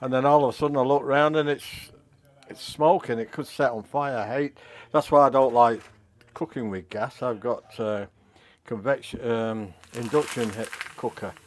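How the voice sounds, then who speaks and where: A man with a Manchester accent speaks with ordinary pitch variation, big swings in loudness, and long, frequent pauses. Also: medium pitch for a man, moderate pace. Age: 70s. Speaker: retired musician cooking vlogger. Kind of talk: cooking video, casual talk. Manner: halting.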